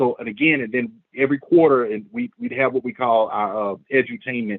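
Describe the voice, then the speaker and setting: A man speaks at a fairly quick pace with an American accent. His pitch sits in the medium range and varies in an ordinary way. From Memphis, Tennessee (US South). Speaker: community organizer, military veteran. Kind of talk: presentation. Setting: screen-share video. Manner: fast.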